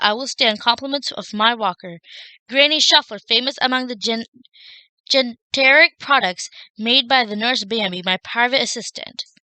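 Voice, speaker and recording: Growling, put-on character voice from a woman, high-pitched, at a moderate pace. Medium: read story. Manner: snarling, cranky.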